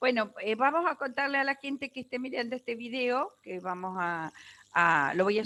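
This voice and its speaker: In a very clean recording with a silent background, a woman with a bright, sharp, fairly high voice speaks at a moderate pace, her pitch swinging very widely and her loudness rising and falling sharply. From Argentina, San Javier, Santa Fe province. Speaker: life coach. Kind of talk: casual chat.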